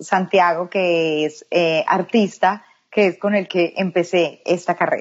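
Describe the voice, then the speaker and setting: At a fairly slow pace, a woman talks in a plain, everyday voice of medium pitch with fairly even intonation. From Colombia, Medellín. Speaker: makeup artist. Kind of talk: interview.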